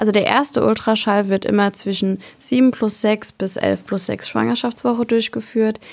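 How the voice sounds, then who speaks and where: A woman with a normal speaking voice, medium in pitch, at a moderate pace. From Palatinate, southwest Germany. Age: 20s. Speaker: midwife. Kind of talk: expert interview.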